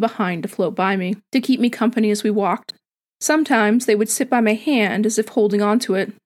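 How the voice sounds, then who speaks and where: A woman's normal speaking voice at a fairly high pitch, with ordinary pitch variation, very even loudness and a fairly quick pace. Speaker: podcast host and storyteller. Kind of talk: literary audiobook-style narration of a personal sci-fi story; scripted podcast monologue. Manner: soft, dreamy and descriptive.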